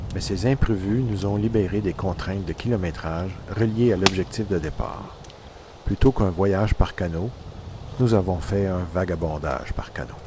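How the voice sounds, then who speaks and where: Speaking at a moderate pace, a man's very deep, low voice shows ordinary pitch variation. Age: 60s. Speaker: canoe traveller and photographer. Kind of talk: scripted narration.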